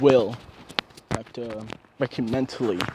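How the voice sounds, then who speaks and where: Against noticeable background noise, a man talks at a fairly slow pace and medium pitch. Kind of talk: casual fan-fiction storytelling to camera. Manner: halting, stuttering, rambling.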